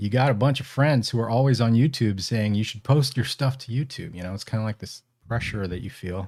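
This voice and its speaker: On a very clean recording with a silent background, a man speaks at a fairly quick pace with an American accent. His medium-pitched voice is somewhat breathy. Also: ordinary pitch variation. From Northern California, Bay Area. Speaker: ham radio podcaster and battery maker. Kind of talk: live stream casual chat. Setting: live stream.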